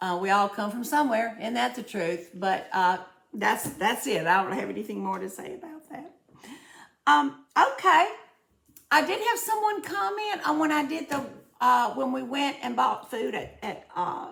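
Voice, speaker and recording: In a Southern US accent, a woman with a high pitch and very wide pitch swings speaks at a moderate pace, with audible room echo. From US South. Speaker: cooking and budgeting vlogger. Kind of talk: casual vlog, answering viewer comments. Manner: chatty, with frequent fillers and repetitions.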